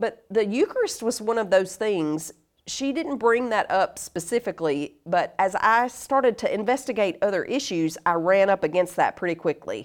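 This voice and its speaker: On a very clean recording with a silent background, a woman with a Southern US accent talks at a moderate pace with lively intonation. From US South, North Carolina. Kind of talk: casual interview chat. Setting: in person, in studio.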